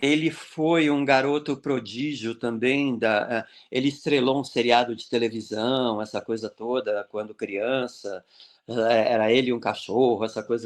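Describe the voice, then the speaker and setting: Against a quiet background, a man speaks at medium pitch. He goes at a fairly slow pace with ordinary pitch variation. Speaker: clown and social entrepreneur. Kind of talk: interview. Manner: animated.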